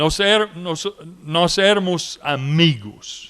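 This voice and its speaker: The speaker has an English accent and lively intonation. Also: man. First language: English (speaking Portuguese). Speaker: missionary. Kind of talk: commemorative speech. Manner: halting.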